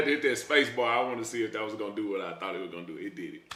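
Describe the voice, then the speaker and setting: Against noticeable background noise, a man with an American accent talks at a very fast pace, his pitch swinging very widely. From Texas. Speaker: streamer. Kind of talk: live reaction stream. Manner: animated.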